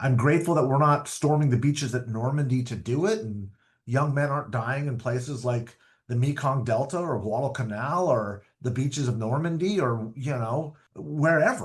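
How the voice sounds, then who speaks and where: Somewhat breathy speech comes at a moderate pace with ordinary pitch variation against a quiet background. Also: man, medium pitch for a man. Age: 50s. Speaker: political strategist. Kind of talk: interview. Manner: repeats words when starting phrases.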